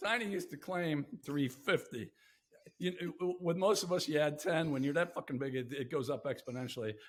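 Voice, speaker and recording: A man speaks at a fairly quick pace with lively intonation and a fairly high pitch, in an ordinary speaking voice. The recording is very clean, with a silent background. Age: 60s. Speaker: podcast host. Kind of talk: casual chat.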